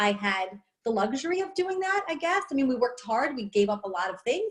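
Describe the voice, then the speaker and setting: A woman with a New York accent talks at a fairly quick pace, her somewhat breathy voice carrying lively intonation. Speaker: network marketer, stay-at-home mom. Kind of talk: testimony. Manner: animated.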